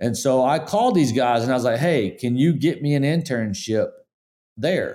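Against a silent background in a very clean recording, a man with an American accent speaks at a medium pitch in a dark, mellow tone with lively intonation. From US South, upstate South Carolina / western North Carolina. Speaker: sports cinematographer and producer. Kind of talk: casual interview. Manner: halting, many repeated words.

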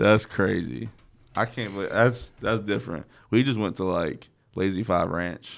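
A man speaks at a moderate pace in a fairly low voice with vocal fry and ordinary pitch variation. The recording is very clean, with a silent background. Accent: American. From North Carolina (Statesville). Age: 30s. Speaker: podcast host, DJ. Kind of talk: casual chat. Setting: studio.

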